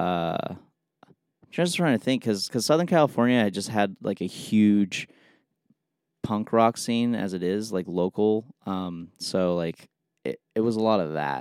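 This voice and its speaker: A man with a normal speaking voice talks fairly slowly at a fairly low pitch, with lively intonation and big swings in loudness. The sound is dry and close with no echo. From Los Angeles, US. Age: 20s. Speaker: jazz saxophonist and bandleader. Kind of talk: casual chat.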